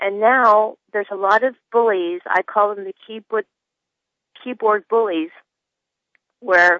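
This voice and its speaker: Speaking at a fairly slow pace, a woman uses a normal speaking voice with medium pitch and fairly even intonation. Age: 50s. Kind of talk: phone-in call.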